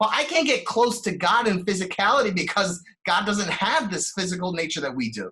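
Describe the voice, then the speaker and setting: A man speaks in a high, raised, projected voice with a bright, sharp tone. His pace is fairly quick and his intonation lively. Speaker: rabbi, relationship workshop teacher. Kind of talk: lecture. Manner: fast.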